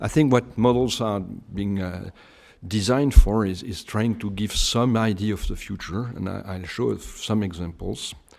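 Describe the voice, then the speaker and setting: A man with a French accent speaks at a moderate pace in a fairly low voice, with ordinary pitch variation and big swings in loudness. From France, Bordeaux region. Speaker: climate scientist. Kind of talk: lecture. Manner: halting, many hesitations.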